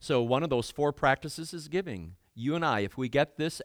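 A man with vocal fry speaks at a medium pitch, his voice swinging very widely. The sound is dry and close with no echo, on a very clean recording with a silent background. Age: 60s. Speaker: guest preacher. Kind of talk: sermon.

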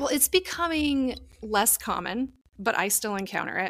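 A woman with an unremarkable speaking voice talks at a moderate pace with lively intonation, the sound dry and close with no echo. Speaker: podcast host and tarot reader. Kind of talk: casual interview chat.

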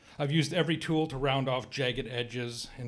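Fairly quick and with fairly even intonation, a man talks in a normal speaking voice. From Canada, Cree. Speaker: writer. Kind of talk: reading aloud.

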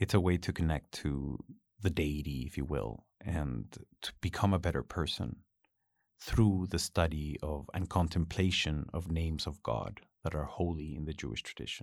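Moderate pace, ordinary pitch variation and vocal fry with a Spanish accent, on a very clean recording with a silent background. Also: man, very deep, low pitch for a man. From Chile. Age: 40s. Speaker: university teacher. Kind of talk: casual interview chat.

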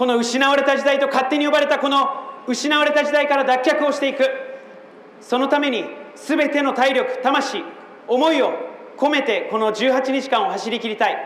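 Amid noticeable background noise and audible room echo, a man with an extremely high pitch keeps his intonation fairly even. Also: moderate pace. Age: 30s. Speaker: political candidate. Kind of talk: campaign speech. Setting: outdoor rally in front of a train station. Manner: impassioned.

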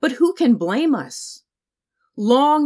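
A woman with a plain, everyday voice speaks at a fairly slow pace with lively intonation, on a very clean recording with a silent background and a dry, close sound with no echo. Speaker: audiobook author-narrator. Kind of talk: literary audiobook reading, scripted narration with quoted excerpts. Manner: measured, formal, reflective; slow, deliberate, somber.

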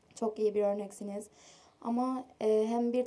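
A woman's fairly high voice stays monotone, with flat intonation. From Cyprus. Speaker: audience member asking a question. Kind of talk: audience question. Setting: stage with audience.

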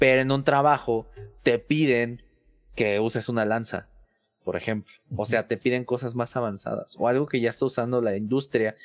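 An ordinary speaking voice. The recording is very clean, with a silent background. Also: man. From Mexico City. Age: 20s. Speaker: tech content creator and IT professional. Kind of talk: casual interview.

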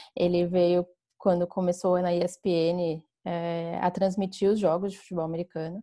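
A woman's dark, mellow voice at a very slow pace. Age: 20s. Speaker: flag football player. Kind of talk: podcast interview.

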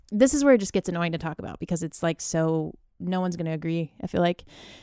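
On a very clean recording with a silent background, a woman speaks at a fairly quick pace in a dark, mellow tone, the sound dry and close with no echo. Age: 20s. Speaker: podcast host. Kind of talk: solo casual talk. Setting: bedroom at home.

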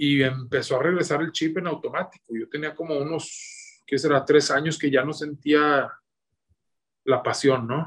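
In a northern Mexican accent, a man speaks at a fairly slow pace. His pitch is fairly high, with fairly even intonation. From northern Mexico (Torreón, Coahuila). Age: 30s. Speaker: cooking content creator. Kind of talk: casual interview.

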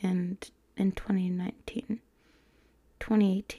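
A woman speaks at medium pitch with a somewhat breathy voice. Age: 20s. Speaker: solo podcaster. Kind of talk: casual monologue. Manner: animated.

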